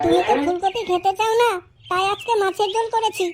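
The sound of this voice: A woman speaks in a cartoonish character voice with extremely high pitch. Her intonation is fairly even, her pace moderate and her loudness very even.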